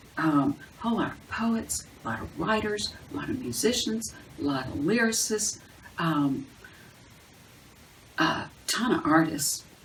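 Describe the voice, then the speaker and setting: A woman's voice with very wide pitch swings and big swings in loudness, a fairly slow pace with long, frequent pauses, and noticeable background noise. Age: 60s. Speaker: video blogger on bipolar wellness. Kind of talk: casual monologue to camera. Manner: halting, many fillers.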